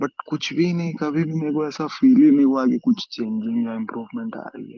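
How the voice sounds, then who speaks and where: A fairly high-voiced man at a moderate pace, with very wide pitch swings and big swings in loudness. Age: 20s. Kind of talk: testimony.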